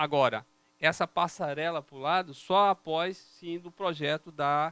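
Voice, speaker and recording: A man with a northeastern Brazilian accent has a fairly high pitch and a bright, sharp tone. He talks at a fairly slow pace with ordinary pitch variation, the sound dry and close with no echo. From Brazilian Northeast. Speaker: civil engineer presenting a road project. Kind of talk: technical presentation to city councillors. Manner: explanatory, conversational.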